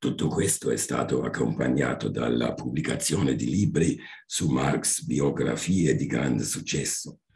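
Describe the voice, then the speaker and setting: With a German accent, the speaker talks at a fairly slow pace, using ordinary pitch variation and very even loudness. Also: man, very deep, low pitch for a man. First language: German (speaking Italian). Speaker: history professor. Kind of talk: seminar talk. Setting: video call.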